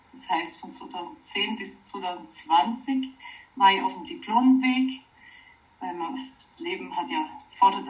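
Very slow speech with very wide pitch swings and big swings in loudness. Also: woman. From Oberallgäu, Bavaria (southern Germany). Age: 40s. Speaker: wood sculptor and permaculture teacher. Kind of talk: interview. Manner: halting, many fillers.

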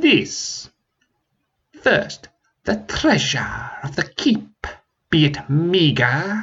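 A man's put-on character voice at a high pitch, with a very slow pace and long, frequent pauses. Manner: insulting, haughty.

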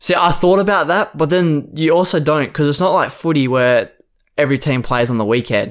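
A man with an Australian accent speaks at a fairly quick pace in a fairly high pitch. His loudness stays very even, and the recording is very clean with a silent background. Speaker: podcast co-host. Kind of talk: casual chat.

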